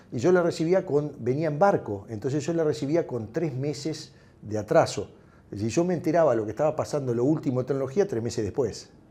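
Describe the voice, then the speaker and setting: Here a man with an Uruguayan accent talks at a fairly quick pace, his fairly high voice dark and mellow in tone. His intonation is lively. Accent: Uruguayan Rioplatense Spanish. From Uruguay, Montevideo. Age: 60s. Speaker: tech entrepreneur. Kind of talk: interview. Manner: halting.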